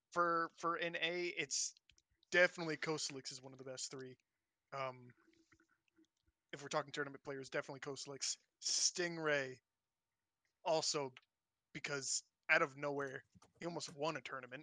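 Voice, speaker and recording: The speaker has an American accent and a moderate pace. Long pauses come often. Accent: American (claims none). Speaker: esports player and podcast guest. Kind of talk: casual chat. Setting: live stream.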